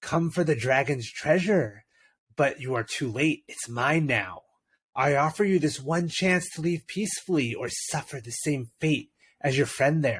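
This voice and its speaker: A man puts on a breathy character voice with a fairly high pitch, speaking at a moderate pace. The recording is very clean, with a silent background. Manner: slow, menacing, territorial.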